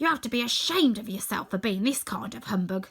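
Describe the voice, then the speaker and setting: Growling in a put-on character voice, a woman races at a very fast pace with a fairly high pitch and lively intonation. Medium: read story.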